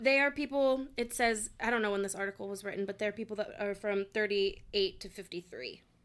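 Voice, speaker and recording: A woman speaks at a fairly quick pace with hardly any pauses, in an ordinary speaking voice. Her pitch is fairly high, with ordinary pitch variation. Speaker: podcast guest. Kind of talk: casual chat.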